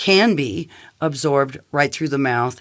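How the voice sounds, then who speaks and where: In a very clean recording with a silent background, a woman speaks with a very deep, low pitch. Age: 60s. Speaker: clinical nutritionist. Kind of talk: product testimonial.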